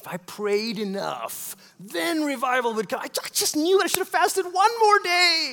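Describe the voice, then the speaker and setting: Over noticeable background noise, a man with an extremely high pitch uses a raised, projected voice at a moderate pace, with very wide pitch swings and big swings in loudness. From Malaysia. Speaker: pastor. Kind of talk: sermon.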